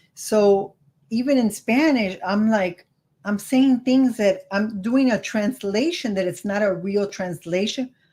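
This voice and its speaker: Speaking fairly slowly with a Miami accent, a woman of medium pitch has a dark, mellow tone that is somewhat breathy. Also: ordinary pitch variation. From California. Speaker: credit card YouTuber. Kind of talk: casual chat.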